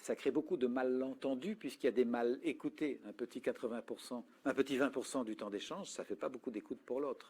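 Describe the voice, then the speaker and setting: The recording of this man is very clean, with total silence behind him. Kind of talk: talk on communication and listening.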